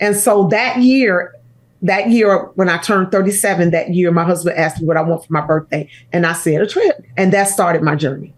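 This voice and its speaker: A woman with an American accent and a normal speaking voice talks at a fairly quick pace, with very even loudness and ordinary pitch variation. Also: medium pitch for a woman. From Chicago, US Midwest. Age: 60s. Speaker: pastor and author. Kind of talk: interview conversation.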